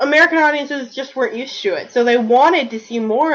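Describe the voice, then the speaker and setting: With a Southern US accent, the speaker talks at a very fast pace using lively intonation. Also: woman. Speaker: video podcast co-host, fan discussant. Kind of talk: casual discussion.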